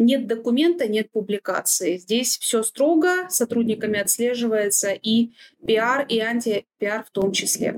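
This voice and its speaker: An unremarkable speaking voice from a woman, fairly high in pitch, talking at a fairly slow pace with lively intonation and very even loudness, the sound dry and close with no echo. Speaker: head of legal department. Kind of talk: panel discussion. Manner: formal.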